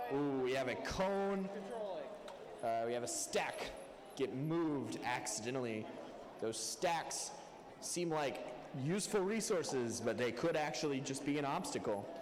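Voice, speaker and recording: Amid noticeable background noise and audible room echo, a man with a fairly high pitch and lively intonation speaks at a fairly slow pace with long, frequent pauses. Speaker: robotics match announcer. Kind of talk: live commentary. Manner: soft-spoken.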